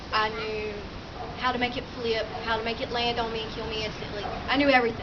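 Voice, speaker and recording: Her words pour out very fast as a woman speaks amid clear background noise and audible room echo. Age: 20s. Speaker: suicide awareness speaker. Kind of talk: personal testimony speech.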